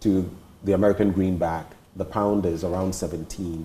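With light background noise behind him, a man speaks at a moderate pace with fairly even intonation. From Ghana. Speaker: TV interviewer. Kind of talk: interview. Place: home room.

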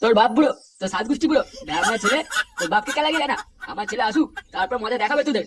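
A man does a cartoonish character voice at an extremely high pitch, with lively intonation and a fairly bright tone. He talks at a very fast pace, with a slightly husky edge.

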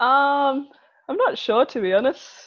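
A woman talks with an Australian accent and ordinary pitch variation. The background is quiet. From Wagga Wagga, New South Wales, Australia. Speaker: professional football goalkeeper. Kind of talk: podcast interview answer. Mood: relaxed, friendly. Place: home room. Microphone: earbuds.

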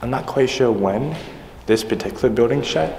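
A man is heard with audible room echo. Light background noise sits underneath. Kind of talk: casual vlog chat. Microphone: phone near.

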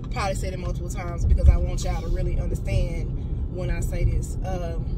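A woman talks at a very fast pace in a dry sound with no echo, with music in the background. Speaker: motivational vlogger. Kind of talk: casual vlog chat. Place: car. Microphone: phone near.

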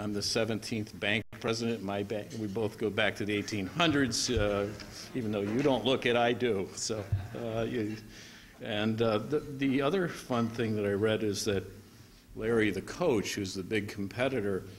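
A man speaks in an ordinary speaking voice, fairly low in pitch, at a moderate pace. His pitch varies in an ordinary way, with light background noise. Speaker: guest. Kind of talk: formal speech remarks. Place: hall. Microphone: podium.

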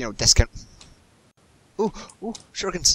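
In a Scottish accent, a man talks at a moderate pace with very wide pitch swings. The sound is dry and close, with no echo. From Scotland. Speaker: gamer. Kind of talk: casual chat while gaming. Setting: voice chat while playing a game. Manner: animated, laughs often.

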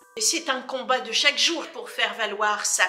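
Light background noise runs through the clip. There is audible room echo. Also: woman. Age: 60s. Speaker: politician. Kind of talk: interview answers. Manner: hesitant, frequent fillers. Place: office.

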